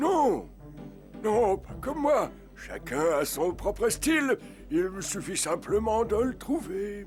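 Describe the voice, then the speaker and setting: A man puts on a cartoonish character voice, pitched high for a man. He speaks at a fairly slow pace with long, frequent pauses over clear background music. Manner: gentle, warm.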